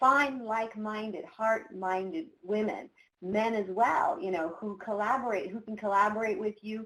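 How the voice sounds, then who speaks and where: A woman speaks at a moderate pace with fairly high pitch. Her pitch moves in an ordinary way. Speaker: professional coach. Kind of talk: webinar presentation. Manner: animated.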